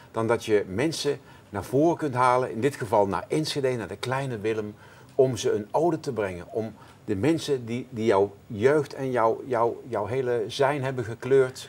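Ordinary pitch variation at a moderate pace. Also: man. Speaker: interview guest, show creator. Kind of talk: interview answer. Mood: enthusiastic, warm. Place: studio. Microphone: lapel.

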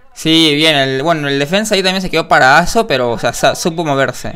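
A man talks at moderate speed, his pitch varying in an ordinary way, with a quiet background behind him. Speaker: reaction video host. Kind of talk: casual commentary. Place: home room.

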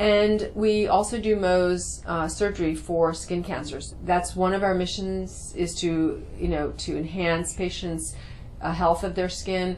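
A woman at a fairly slow pace with light background noise. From New York City. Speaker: cosmetic surgeon and dermatologist. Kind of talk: promotional talk to camera. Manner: hesitant with frequent fillers. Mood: calm, friendly. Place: office.

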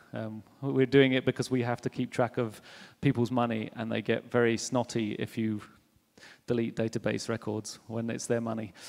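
Against a quiet background, a man talks at a moderate pace in a monotone, flat intonation. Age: 30s. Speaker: software engineer, conference speaker; conference speaker. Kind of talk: conference talk. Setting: stage with audience. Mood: humorous, relaxed. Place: hall. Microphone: handheld.

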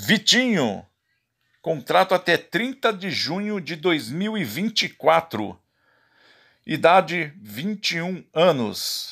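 On a very clean recording with a silent background, a man speaks very slowly at a high pitch in a bright, sharp tone, with very wide pitch swings and big swings in loudness. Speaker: football YouTuber. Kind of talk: list reading of player contracts.

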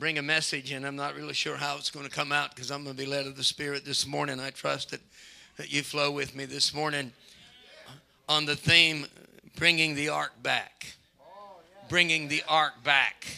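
A man talks at a moderate pace in a flat monotone. His speech has long, frequent pauses. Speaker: preacher. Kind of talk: sermon. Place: church. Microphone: handheld.

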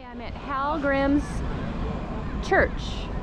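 A woman talks at a slow pace, her pitch high and her intonation fairly even. Room echo is audible.

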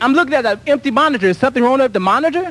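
Over noticeable background noise, a man uses a raised, projected voice with lively intonation, in a dry sound with no echo. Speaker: local TV dance show host. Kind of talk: live local TV show hosting. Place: studio. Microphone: handheld.

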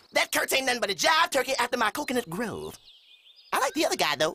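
A man puts on a character voice, extremely high-pitched and delivered at a very fast pace. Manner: cool, slangy.

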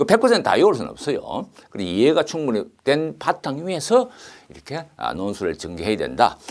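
Against a quiet background, a man with a fairly high pitch, vocal fry and very wide pitch swings talks at a moderate pace. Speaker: engineering exam lecturer. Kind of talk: lecture. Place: studio. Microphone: lapel.

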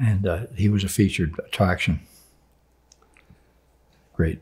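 Over a quiet background, a man talks at a fairly slow pace in a fairly low, somewhat breathy voice with ordinary pitch variation. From Vermont. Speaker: sports broadcaster. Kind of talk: interview answer. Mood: warm, reminiscing. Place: home room.

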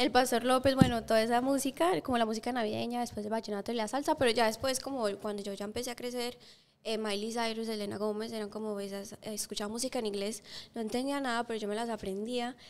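A woman talks very fast at a fairly high pitch, her intonation staying fairly even. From Colombia, Bogotá. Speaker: singer; guest. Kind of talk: interview. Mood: warm, cheerful. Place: studio. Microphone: studio mic.

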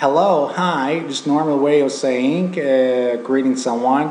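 A man speaks at a very slow pace with a fairly high pitch, and noticeable background noise is present. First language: Turkish. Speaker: language teacher. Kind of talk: language lesson to camera.

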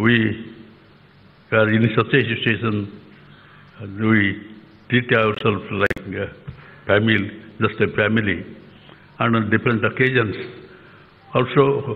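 A man speaks in a monotone, flat intonation, leaving long, frequent pauses. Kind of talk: formal speech. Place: stage. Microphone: podium.

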